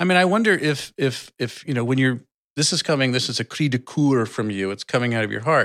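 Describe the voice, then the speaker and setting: This man has a normal speaking voice at a medium pitch, with a General American accent. His intonation is lively and his pace fairly quick. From US Midwest. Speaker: podcast co-host. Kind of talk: casual chat.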